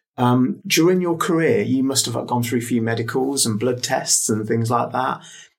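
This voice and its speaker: A man at a moderate pace, medium pitch, ordinary pitch variation and very even loudness. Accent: English. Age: 40s. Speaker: podcast interviewer and cancer patient. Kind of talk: interview.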